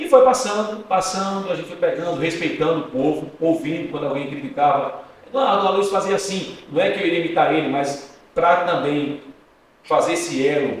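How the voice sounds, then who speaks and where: Noticeable background noise and audible room echo surround a man speaking at a high pitch. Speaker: journalist and radio presenter. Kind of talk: podcast interview. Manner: fast.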